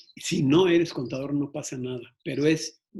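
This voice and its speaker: A man is speaking. His pace is fairly slow. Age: 60s. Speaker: entrepreneur giving a workshop. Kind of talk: online workshop talk. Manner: hesitant, many fillers.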